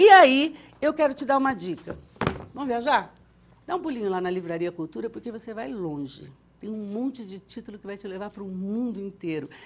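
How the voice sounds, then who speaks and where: Over noticeable background noise, a woman with a fairly high pitch speaks in an animated tone at a moderate pace, with big swings in loudness and very wide pitch swings. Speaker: TV show host. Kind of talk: TV book recommendation segment. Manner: stuttering today.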